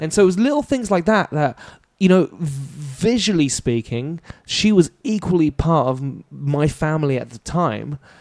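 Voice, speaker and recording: Speaking at a moderate pace, a man with fairly high pitch uses lively intonation and big swings in loudness, in a dry, close recording with no echo. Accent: British. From France. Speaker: comedian and actor. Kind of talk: podcast interview answer.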